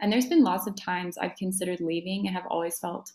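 This woman has a normal speaking voice at a medium pitch. Her intonation stays fairly even. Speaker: podcast host and college dancer. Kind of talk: casual interview chat.

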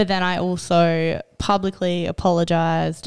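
The recording is very clean, with a silent background. The speech moves at a very slow pace. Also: woman. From South Australia, small country town. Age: 20s. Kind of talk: personal testimony in casual interview.

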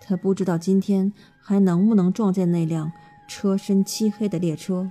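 Fairly even intonation in plain reading aloud.

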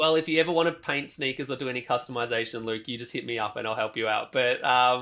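Talking at a very fast pace with an Australian accent, a man uses a bright, sharp tone at medium pitch with ordinary pitch variation. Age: 30s. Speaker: sneaker artist. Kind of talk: interview conversation.

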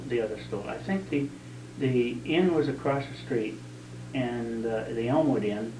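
At a moderate pace, a man talks amid noticeable background noise and audible room echo. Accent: New England. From southern New Hampshire. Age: 60s. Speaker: local resident recounting town history. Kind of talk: oral history interview. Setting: at his home.

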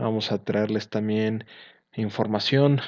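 The background is quiet as a man speaks at a moderate pace. His voice is fairly low. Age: 20s. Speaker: sports podcast host. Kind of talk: casual podcast intro.

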